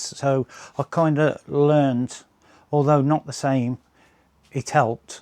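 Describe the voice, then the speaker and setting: A man with a West Midlands accent and a dark, mellow tone, fairly even intonation, a fairly slow pace, and a dry, close sound with no echo. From English West Midlands. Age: 60s. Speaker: RC plane hobbyist and channel owner. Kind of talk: casual vlog update. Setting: home workshop. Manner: hesitant, many fillers.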